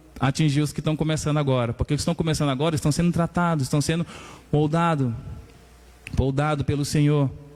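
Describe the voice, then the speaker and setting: A man with fairly high pitch and fairly even intonation talks at a very fast pace, very even in loudness, with long, frequent pauses. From Maranhão, northeastern Brazil. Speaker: pastor. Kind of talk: sermon.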